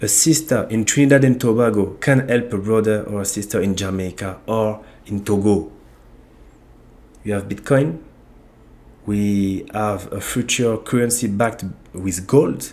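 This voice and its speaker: Long, frequent pauses, a fairly slow pace, ordinary pitch variation, and a French accent. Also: man, fairly low pitch for a man. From France (Ivorian origin). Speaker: YouTube channel host on African economics. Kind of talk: online video monologue. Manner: halting, with repetitions.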